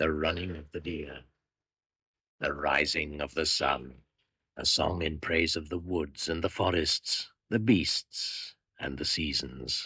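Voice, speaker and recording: A man puts on a character voice with a very deep, low pitch. He talks at a fairly slow pace with long, frequent pauses against a quiet background. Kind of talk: 1980s radio drama monologue. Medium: old radio play. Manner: incantatory, ominous.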